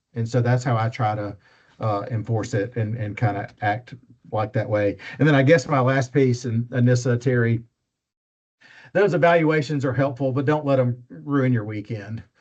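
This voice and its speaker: Speaking with an Alabama accent, a somewhat breathy man keeps a moderate pace and medium pitch with ordinary pitch variation over a quiet background. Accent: Southern US (Alabama). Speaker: faculty member / instructor. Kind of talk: training talk. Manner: casual, with many fillers.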